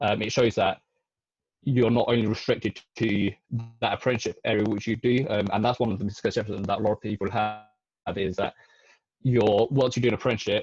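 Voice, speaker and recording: A man talks at a very fast pace in a fairly low, somewhat breathy voice with monotone, flat intonation and long, frequent pauses. The sound is dry and close, with no echo. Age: 20s. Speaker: chartered accountant, former apprentice. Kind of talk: webinar presentation. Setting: live webinar. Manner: halting, many fillers.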